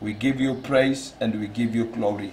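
The delivery is fairly slow, with fairly even intonation. Light background noise can be heard. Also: man. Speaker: pastor. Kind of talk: prayer. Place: studio.

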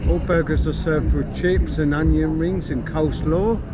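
A man speaks over loud background noise. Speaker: travel vlogger. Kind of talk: casual vlog commentary. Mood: cheerful, relaxed. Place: street. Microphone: phone near.

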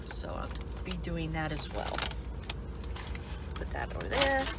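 Loud background noise sits behind a woman speaking. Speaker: food vlogger. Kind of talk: casual mukbang vlog chat. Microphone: phone near.

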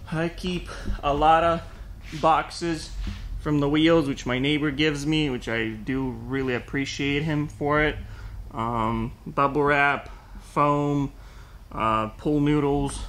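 This man talks at a very slow pace with long, frequent pauses. His intonation stays fairly even. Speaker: small online parts seller. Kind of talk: casual tour narration. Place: factory. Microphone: phone near.

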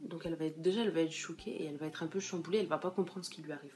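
The intonation stays fairly even while light noise sits in the background. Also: woman. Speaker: vlogger. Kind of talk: casual vlog chat. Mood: earnest, opinionated. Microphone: phone near.

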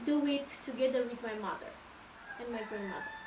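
Noticeable background noise runs under the recording. A woman talks, and her pitch varies in an ordinary way. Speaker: witch. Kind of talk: guided tour explanation.

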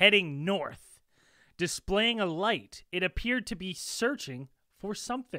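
In a raised, projected voice, a man speaks with a bright, sharp tone, the sound dry with no echo. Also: quiet background. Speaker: podcast host presenting the video. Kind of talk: podcast commentary, reading a submission. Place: home room.

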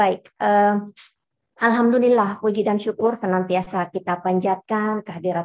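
Against a quiet background, a woman speaks at a moderate pace. Her pitch is medium and her intonation fairly even. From Indonesia. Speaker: head of a regional language office. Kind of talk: lecture.

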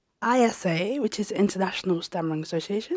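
A woman with a fairly low pitch speaks with very wide pitch swings. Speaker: travel vlogger. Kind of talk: casual talk to camera.

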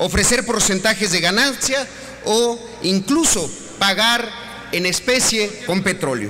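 Over light background noise, a man projects a raised voice at a very slow pace with ordinary pitch variation. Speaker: senator at podium. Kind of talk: parliamentary speech. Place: hall. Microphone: podium.

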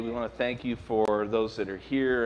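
A man is speaking. Light background noise can be heard. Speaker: pastor. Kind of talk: announcements then prayer. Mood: prayerful, soft. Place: church. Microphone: podium.

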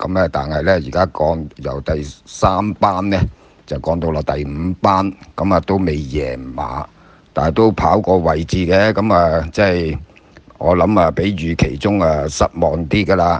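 Through noticeable background noise, a man with a Hong Kong accent and a very deep, low pitch talks at a fairly slow pace with ordinary pitch variation. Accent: Hong Kong Cantonese. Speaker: former jockey and horse trainer. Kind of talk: casual chat.

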